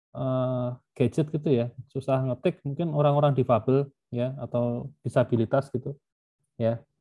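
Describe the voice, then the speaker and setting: Man at medium pitch, moderate pace, fairly even intonation. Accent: Javanese. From Yogyakarta, Java, Indonesia. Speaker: university lecturer. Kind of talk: lecture. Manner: casual, filler-heavy.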